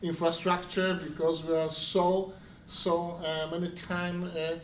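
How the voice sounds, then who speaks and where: Speaking very slowly in a high voice, a man is heard with audible room echo and noticeable background noise. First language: Polish. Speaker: city official. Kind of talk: event speech. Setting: stage with audience. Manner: halting.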